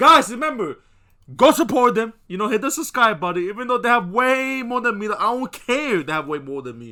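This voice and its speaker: On a very clean recording with a silent background, a man uses a raised, projected voice at an extremely high pitch with lively intonation. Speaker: YouTube reactor. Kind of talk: casual reaction commentary. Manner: halting, many fillers.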